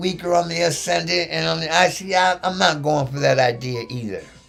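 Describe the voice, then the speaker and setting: A man at a fairly quick pace, with audible room echo and music in the background. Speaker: astrologer. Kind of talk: live-streamed astrology lecture. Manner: fast; casual, animated.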